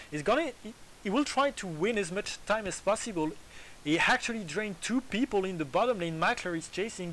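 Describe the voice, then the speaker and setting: Speaking in a French accent, a man talks at a moderate pace with lively intonation. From France. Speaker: esports commentator. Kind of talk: casual chat; live commentary.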